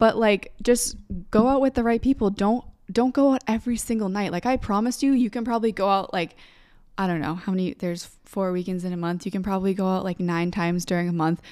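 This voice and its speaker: A woman speaks at a very fast pace in an animated tone, her medium pitch showing ordinary variation. The recording is very clean, with a silent background. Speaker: podcast co-host. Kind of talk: casual chat.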